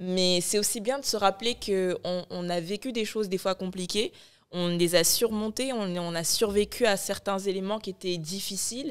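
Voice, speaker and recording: Against a quiet background, a woman talks at a moderate pace with a medium pitch and ordinary pitch variation. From Morocco (born in Ivory Coast). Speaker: media founder and content creator; content creator. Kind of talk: casual chat. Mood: reflective, warm. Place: studio. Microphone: studio mic.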